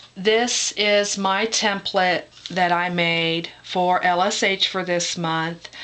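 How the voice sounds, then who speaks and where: Over noticeable background noise, a woman speaks at a very slow pace and a medium pitch with monotone, flat intonation. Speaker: crafter. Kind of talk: tutorial. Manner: hesitant, many fillers.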